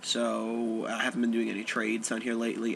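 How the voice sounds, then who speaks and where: A man at medium pitch and a fairly quick pace, with noticeable background noise. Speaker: card game deck reviewer. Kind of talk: casual talk to camera. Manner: flat, low-energy.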